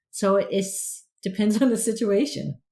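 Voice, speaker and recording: A woman with an American accent talks at a fairly slow pace, somewhat breathy, at medium pitch with ordinary pitch variation. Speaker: learning professional. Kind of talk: podcast panel discussion.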